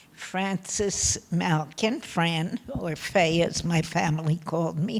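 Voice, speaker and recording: A woman speaks at a fairly low pitch. Background noise is noticeable. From Poland. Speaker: Holocaust survivor. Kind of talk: testimony. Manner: soft-spoken.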